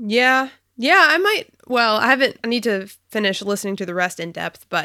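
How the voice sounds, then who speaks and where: In a very clean recording with a silent background, a woman speaks with a bright, sharp, animated tone, lively intonation and a fairly quick pace. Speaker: podcast co-host. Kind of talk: casual chat. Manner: animated, laughs often.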